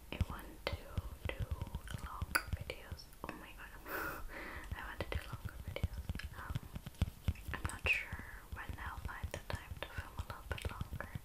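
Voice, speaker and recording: A woman whispers. She leaves long, frequent pauses. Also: moderate pace. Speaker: vlogger. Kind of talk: soft casual vlog chat. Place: home room.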